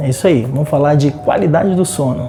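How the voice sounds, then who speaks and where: The voice is soft-spoken. Noticeable background noise can be heard. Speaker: TV presenter. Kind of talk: TV segment intro. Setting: sleep clinic. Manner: speaking softly.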